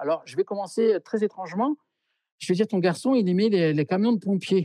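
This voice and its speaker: A man's high-pitched voice with a dark, mellow tone, ordinary pitch variation, a dry sound with no echo and a quiet background. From France. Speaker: medium; interviewee. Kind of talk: interview. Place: home room. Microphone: video call.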